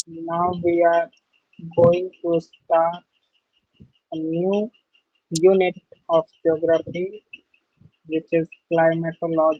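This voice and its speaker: Very slow speech in a non-native accent, broken by long, frequent pauses. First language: not English. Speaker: teacher. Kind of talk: lecture. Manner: halting.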